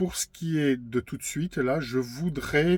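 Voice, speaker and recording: On a very clean recording with a silent background, a man speaks very slowly with ordinary pitch variation in a dry, close sound with no echo. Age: 50s. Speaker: YouTuber sharing personal testimony. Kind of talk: personal testimony monologue. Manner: halting, frequent hesitations and repetitions.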